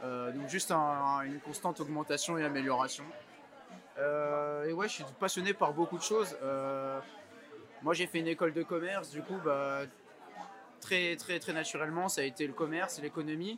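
Amid crowd noise in the background, a man with a fairly high pitch and ordinary pitch variation talks at a moderate pace with long, frequent pauses. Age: 20s. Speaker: entrepreneur. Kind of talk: interview. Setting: rooftop. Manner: hesitant, many fillers.

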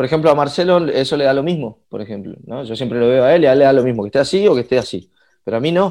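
A man's very fast, fairly high-pitched speech with lively intonation and a dark, mellow tone. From Argentina, Resistencia (Chaco, northeast). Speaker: singer, guitarist and music producer. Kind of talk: casual chat. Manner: halting, many repetitions and fillers.

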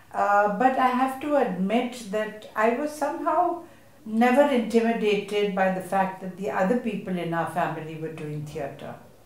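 A woman speaks at a moderate pace and medium pitch, with very wide pitch swings and big swings in loudness. There is audible room echo and noticeable background noise. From India, Mumbai. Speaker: theatre director. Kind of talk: panel discussion at a literature festival.

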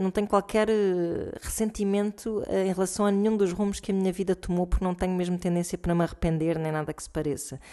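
A woman talks in a plain, everyday voice at medium pitch. Her pace is fairly quick and her intonation fairly even. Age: 40s. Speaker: listener contributor, mother. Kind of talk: recorded voice message.

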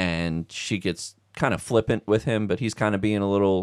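This man has a plain, everyday voice, fairly low in pitch, and speaks at a moderate pace on a very clean recording with a silent background. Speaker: movie fan guest. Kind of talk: casual chat about Christmas movies. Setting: basement, recording at home.

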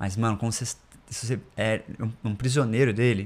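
An unremarkable speaking voice comes through with fairly even intonation. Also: man. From Brasília, Brazil. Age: 20s. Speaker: startup founder. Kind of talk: casual interview chat.

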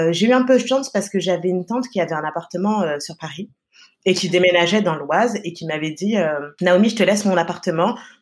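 Fairly quick speech from a woman, pitched in the medium range. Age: 20s. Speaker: press agency co-founder. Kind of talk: interview. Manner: animated.

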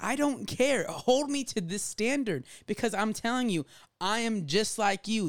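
A man with an American accent speaks at a moderate pace in a normal speaking voice, his intonation lively. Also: very clean recording, silent background. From Jacksonville, Florida. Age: 20s. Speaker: youth leader. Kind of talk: casual chat.

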